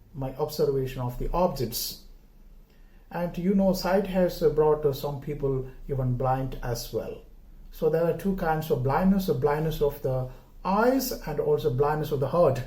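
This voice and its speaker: A man's fairly high, somewhat breathy voice with a dark, mellow tone, in a Keralan accent, at a moderate pace with audible room echo. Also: ordinary pitch variation. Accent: Indian (Malayali) English. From India, Kerala. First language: Malayalam. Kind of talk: homily. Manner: halting, many filler words.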